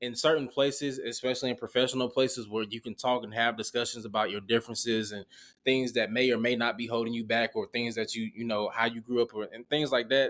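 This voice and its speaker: A man with a Southern accent talks at a very fast pace in a medium pitch, monotone and flat, with hardly any pauses, on a very clean recording with a silent background. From US South, Augusta, Georgia. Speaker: former college football player, marketing professional. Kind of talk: casual interview.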